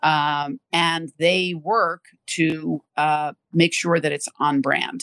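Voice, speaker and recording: In a New York accent, a woman with a very deep, low pitch speaks at a very slow pace in a dry, close sound with no echo. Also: ordinary pitch variation. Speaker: corporate sustainability executive. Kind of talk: interview.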